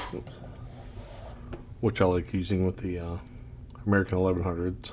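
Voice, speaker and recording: A man talks at a fairly quick pace. His very deep, low voice stays monotone and flat. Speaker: locksport hobbyist youtuber. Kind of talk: casual show-and-tell tutorial. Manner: hesitant, many ums and uhs.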